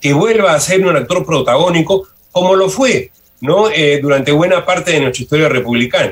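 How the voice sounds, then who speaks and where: With lively intonation and a fairly quick pace, a man talks in a normal speaking voice. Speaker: sociology professor and university rector candidate. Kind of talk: radio interview.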